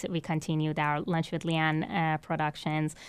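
Someone speaks in a Persian accent. The pace is moderate. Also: woman. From Iran. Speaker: violinist and arts administrator. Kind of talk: interview.

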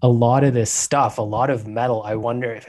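With a Canadian accent, a man speaks in a normal speaking voice of medium pitch at a moderate pace, with fairly even intonation, against a quiet background. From Canada, Toronto suburbs. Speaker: podcast co-host. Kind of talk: casual chat.

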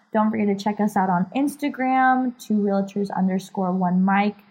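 A woman's somewhat breathy, medium-pitched voice at a moderate pace. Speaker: realtor and podcast co-host. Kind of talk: casual chat. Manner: animated.

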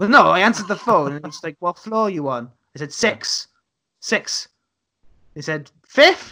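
This man's voice is high-pitched, bright and sharp, with lively intonation. He takes long, frequent pauses. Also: moderate pace, big swings in loudness. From Wales, Newport. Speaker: comedian. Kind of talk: casual chat. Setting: video call.

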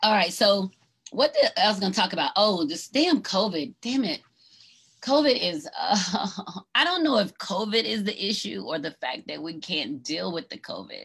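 Speaking in a Southern US accent, a woman sounds animated at a moderate pace. Her pitch swings very widely. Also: medium pitch for a woman. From US South, North Georgia. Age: 50s. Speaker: podcast host. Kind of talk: solo livestream monologue.

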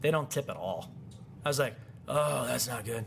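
Keeping his intonation fairly even, a man speaks with a US Midwestern accent. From Wheaton, Illinois, US Midwest. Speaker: pastor. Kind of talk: sermon. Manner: casual, conversational.

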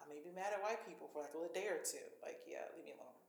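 Fairly quick, animated speech with audible room echo. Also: woman. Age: 20s. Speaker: podcast host. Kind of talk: casual chat.

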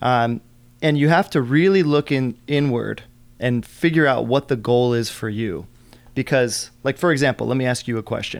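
A man talks at a moderate pace with ordinary pitch variation. His is a plain, everyday voice. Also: medium pitch for a man. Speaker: guest speaker on career mindset. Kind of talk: casual interview chat.

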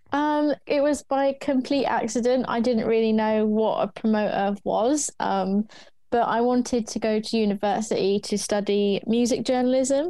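A woman with a southern English accent talks at a fairly high pitch, in a dark, mellow tone with very even loudness. She hardly pauses, and the background is quiet. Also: ordinary pitch variation, moderate pace. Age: 20s. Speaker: music promoter. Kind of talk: interview.

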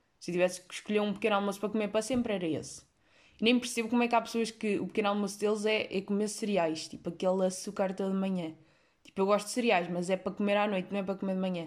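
A woman talks at a very fast pace and a medium pitch. The recording is very clean, with a silent background. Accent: European Portuguese. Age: 20s. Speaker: podcaster. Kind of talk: casual monologue. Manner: animated.

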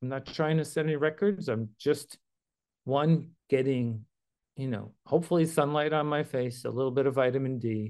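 A man with a plain, everyday voice talks at a moderate pace. His pitch sits fairly high, with ordinary variation. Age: 60s. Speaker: ultra-endurance athlete and business executive. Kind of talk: casual chat.

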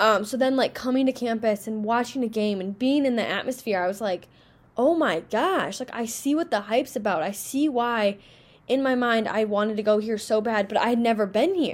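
In a very clean recording with a silent background, a woman with a plain, everyday voice talks at a moderate pace, her pitch fairly high with ordinary variation. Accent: American. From Minnesota. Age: 20s. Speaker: podcaster and university student. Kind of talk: casual personal monologue. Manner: frequent fillers (um, like).

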